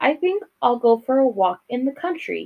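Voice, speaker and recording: Putting on a character voice, a woman speaks high-pitched at a moderate pace, her pitch swinging very widely. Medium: read story.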